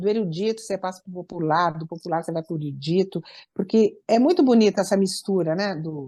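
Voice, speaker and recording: In a quiet background, a woman with a dark, mellow tone at medium pitch speaks with big swings in loudness. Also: ordinary pitch variation, fairly quick pace. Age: 60s. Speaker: musician. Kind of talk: interview.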